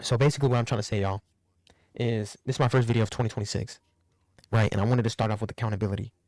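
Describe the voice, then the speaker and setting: In a very clean recording with a silent background, a man speaks at medium pitch and a very fast pace. His intonation is fairly even, with long, frequent pauses. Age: 20s. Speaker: YouTuber. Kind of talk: casual vlog monologue. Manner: casual, conversational.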